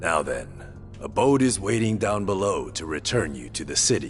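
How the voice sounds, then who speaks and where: A man uses a put-on character voice with a very deep, low pitch at a moderate pace. Clear music plays in the background. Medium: video game. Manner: formal, measured.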